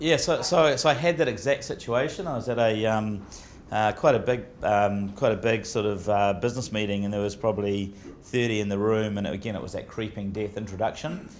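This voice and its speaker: In a room with audible echo, a man with a New Zealand accent speaks with ordinary pitch variation. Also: fairly low pitch for a man, fairly quick pace. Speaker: business executive. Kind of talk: Q&A talk. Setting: breakfast event with audience. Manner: halting.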